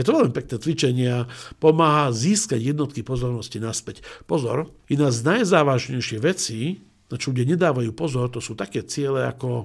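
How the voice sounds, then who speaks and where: Here a man has a plain, everyday voice at medium pitch, with ordinary pitch variation and a fairly quick pace. The recording is very clean, with a silent background. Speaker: management school president and business coach. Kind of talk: interview.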